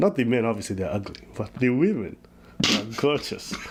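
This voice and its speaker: A man speaks in an animated tone. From Ethiopian heritage. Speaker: reaction commentator. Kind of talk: casual chat.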